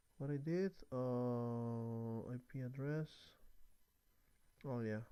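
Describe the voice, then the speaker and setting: A man's dark, mellow tone, with a non-native accent, ordinary pitch variation and a very slow pace. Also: medium pitch for a man. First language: not English. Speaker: networking tutorial creator. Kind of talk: tutorial. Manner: halting. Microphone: new microphone.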